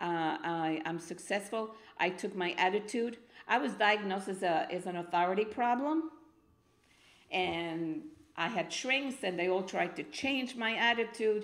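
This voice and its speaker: A woman with a Spanish accent talks fairly slowly in a medium pitch. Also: lively intonation. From Argentina, Buenos Aires. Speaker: spoken word poet. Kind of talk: interview. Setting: studio.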